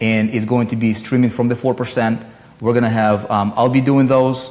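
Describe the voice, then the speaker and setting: Over noticeable background noise, a man with a non-native accent speaks at a moderate pace and medium pitch, his intonation monotone and flat and his loudness very even. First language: not English. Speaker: online marketing coach, live streamer. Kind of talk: live stream talk. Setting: live stream. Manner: casual, many fillers and repetitions.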